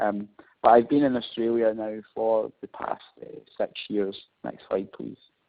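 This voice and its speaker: In a Scottish accent, a man speaks at a fairly slow pace. His loudness swings widely. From Scotland. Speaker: marketing professor. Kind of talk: webinar presentation. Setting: webinar. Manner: hesitant, frequent fillers.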